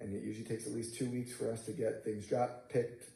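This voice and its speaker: Talking at a very fast pace, a man at medium pitch sounds somewhat breathy, with a dark, mellow tone and monotone, flat intonation. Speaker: construction manager presenting to school board. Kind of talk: board meeting presentation. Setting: school board meeting.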